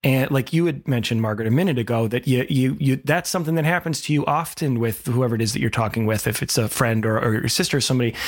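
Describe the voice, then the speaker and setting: With hardly any pauses, a man races along at a very fast pace as noticeable background noise carries on. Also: medium pitch for a man, ordinary pitch variation, very even loudness. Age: 40s. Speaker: parenting podcast co-host. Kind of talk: casual chat.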